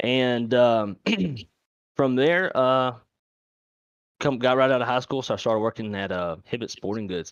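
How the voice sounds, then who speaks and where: With a Louisiana accent, a man talks at a fairly quick pace with ordinary pitch variation, recorded with a dry, close sound, no echo and a quiet background. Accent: Louisiana Southern. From Louisiana, Monroe. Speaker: airline flight dispatcher, sim streamer. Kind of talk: casual podcast interview.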